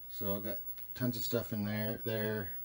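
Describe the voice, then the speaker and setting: Against light background noise, a man talks in a fairly low, somewhat breathy voice. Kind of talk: casual vlog chat. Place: home room. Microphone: phone near.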